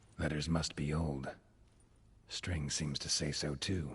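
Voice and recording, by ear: A put-on character voice with a husky, rough edge. It moves slowly, with little pitch movement. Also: man, extremely low pitch for a man.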